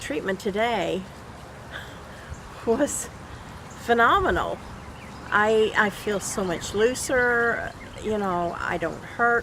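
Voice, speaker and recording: Over noticeable background noise, a woman speaks at a very slow pace with long, frequent pauses. Her pitch is fairly high, with ordinary pitch variation. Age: 70s. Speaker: patient giving testimonial. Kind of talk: testimony.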